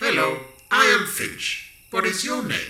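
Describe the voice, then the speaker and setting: A man puts on a character voice at a fairly slow pace. There is a slight echo. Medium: audio drama. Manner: literal, matter-of-fact.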